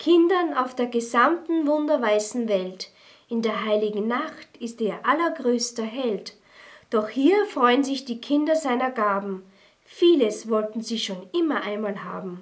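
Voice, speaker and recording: Speaking at a fairly slow pace, a woman with a high-pitched voice uses lively intonation. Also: quiet background. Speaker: poetry reader. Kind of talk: poetry reading. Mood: calm, festive, warm. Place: studio.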